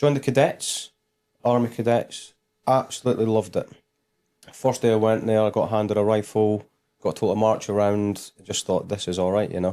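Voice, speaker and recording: In a Scottish accent, a man with a fairly low, dark and mellow voice speaks at a fairly quick pace with fairly even intonation on a very clean recording with a silent background. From Scotland, Dundee. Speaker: military veteran turned business guest. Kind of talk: casual interview chat.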